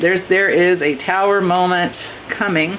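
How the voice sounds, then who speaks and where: Noticeable background noise is present throughout. The speech has an American accent. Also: woman. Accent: occasional Texas. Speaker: tarot reader. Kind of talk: tarot reading monologue. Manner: casual, hesitant with fillers.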